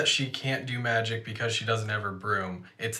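Ordinary pitch variation across some plain reading aloud.

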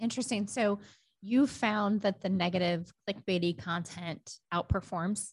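Somewhat breathy, a woman speaks at a fairly slow pace. Her pitch is medium, with ordinary variation. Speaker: podcast host. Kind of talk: casual interview.

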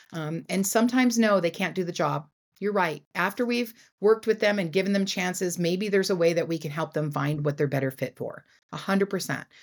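At a fairly quick pace, a woman with a medium-pitched voice speaks with ordinary pitch variation in a very clean recording with a silent background. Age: 60s. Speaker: leadership speaker and business coach. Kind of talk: interview. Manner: animated.

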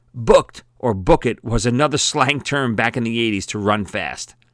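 On a very clean recording with a silent background, a man with an American accent speaks at a moderate pace and medium pitch with lively intonation. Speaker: audiobook author and narrator. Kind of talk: audiobook reading of memoir. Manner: warm, nostalgic storytelling; animated, conversational.

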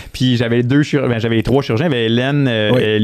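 A man speaks at medium pitch and a moderate pace. His intonation stays fairly even over noticeable background noise. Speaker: veterinarian. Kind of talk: casual interview chat. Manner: loud.

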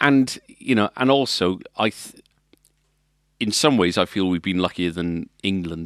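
A man with a Welsh accent speaks at a moderate pace in a very deep, low pitch. The sound is dry and close with no echo, in a very clean recording with a silent background. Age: 40s. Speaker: music shop owner and podcast co-host. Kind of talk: casual chat.

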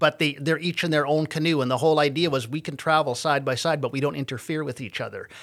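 In a Canadian accent, a man with a normal speaking voice and fairly high pitch talks with fairly even intonation on a very clean recording with a silent background. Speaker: comedian. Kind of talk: casual interview chat. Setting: studio.

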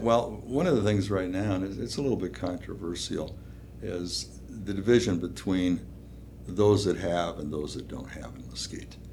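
A man with an American accent speaks at a moderate pace in a very deep, low voice, with very wide pitch swings and big swings in loudness. Audible room echo surrounds him. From Minnesota (Duluth). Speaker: small-town mayor, Vietnam veteran. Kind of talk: interview conversation.

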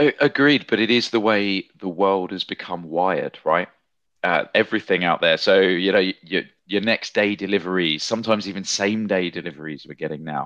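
Here a man speaks with a very deep, low pitch. His pace is moderate and his pitch variation ordinary. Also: dry, close sound with no echo. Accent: British. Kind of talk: casual podcast discussion.

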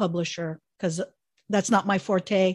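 The pace is moderate and the intonation fairly even. It is a plain, everyday voice. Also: woman. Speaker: podcast host. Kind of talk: casual interview chat.

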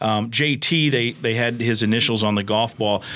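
With an Upper Midwest accent, a man speaks at a fairly low pitch on a very clean recording with a silent background. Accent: Upper Midwest American. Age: 50s. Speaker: radio play-by-play announcer and podcast host. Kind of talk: casual interview. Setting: studio.

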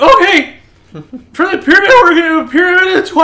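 A put-on character voice at an extremely high pitch, with a fairly quick pace. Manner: calling out orders.

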